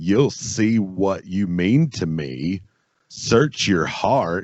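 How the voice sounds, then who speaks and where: In a put-on character voice with a Southern accent, a man drawls at a very slow pace, his very deep, low pitch making very wide swings. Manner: slow, simple drawl.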